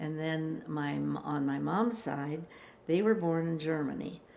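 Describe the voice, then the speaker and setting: With an American accent, a woman speaks at a fairly slow pace in a very deep, low pitch, and audible room echo surrounds her voice. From US Midwest, Chicago. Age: 90s. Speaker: elderly interviewee telling life story. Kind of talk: life story interview. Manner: halting, with many fillers.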